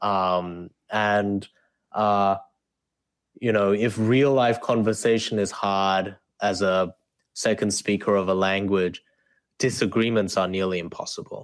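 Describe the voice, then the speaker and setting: A man's fairly low voice in an Australian accent, fairly slow and flat in a monotone, with long, frequent pauses on a very clean recording against a silent background. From South Korea, then Australia from age eight. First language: Korean. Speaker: debate coach and author. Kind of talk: interview.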